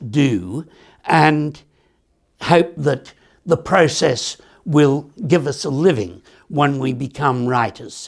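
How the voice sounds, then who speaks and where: A man speaks with an Australian accent and lively intonation. The recording is very clean, with a silent background. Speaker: author. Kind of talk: author talk.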